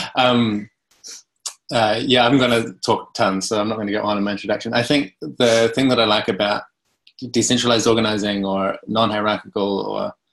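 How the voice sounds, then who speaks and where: With a New Zealand accent, a man speaks at medium pitch and a fairly quick pace, his intonation fairly even. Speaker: cooperative consultant. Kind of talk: presentation. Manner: swallows words.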